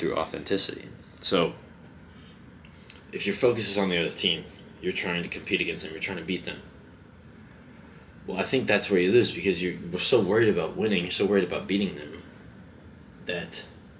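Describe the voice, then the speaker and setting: A man with a very deep, low voice speaks at a fairly quick pace and fairly even intonation, broken by long, frequent pauses. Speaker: vlogger. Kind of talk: casual monologue. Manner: halting.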